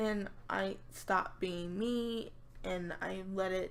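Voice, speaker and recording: Audible room echo around a woman's voice at a medium pitch. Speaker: YouTube gamer vlogger. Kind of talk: casual monologue vlog. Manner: halting.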